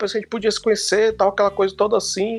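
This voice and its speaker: Music sounds behind the speaker. A man delivers his words very fast. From Fortaleza, Ceará, Brazil. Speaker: screenwriter and film critic. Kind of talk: casual storytelling chat.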